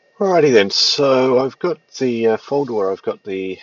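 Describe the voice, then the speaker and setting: This man talks at a moderate pace. He has an Australian accent. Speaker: tutorial presenter. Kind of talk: software tutorial. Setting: at home, cold side of the house. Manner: hesitant with many fillers.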